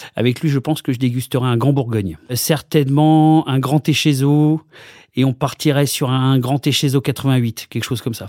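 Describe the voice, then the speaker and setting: Dry and close with no echo, on a very clean recording with a silent background, a man's medium-pitched voice has a dark, mellow tone, fairly even intonation, and a moderate pace. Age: 40s. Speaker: comedian. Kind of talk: casual interview.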